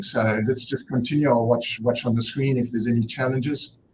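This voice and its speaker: A somewhat breathy man with a South African accent. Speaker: nonprofit director and event host. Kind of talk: conference opening speech. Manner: hesitant, many fillers.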